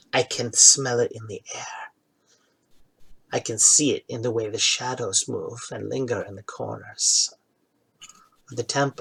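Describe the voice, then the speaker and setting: A man puts on a hissing character voice at a moderate pace. His loudness swings widely, with long, frequent pauses. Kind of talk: dramatic, cryptic. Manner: creepy, ominous, hissing and giggling.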